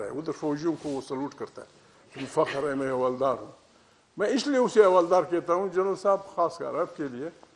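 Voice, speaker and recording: This man has a high pitch and a passionate tone. His pitch varies in an ordinary way. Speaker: politician giving a public speech. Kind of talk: political speech at a conference. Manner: forceful, passionate, storytelling.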